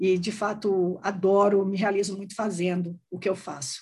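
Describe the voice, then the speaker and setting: Here is a woman with a medium pitch. Her voice is somewhat breathy. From Brazil, Salvador, Bahia. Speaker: HR executive. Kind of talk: interview.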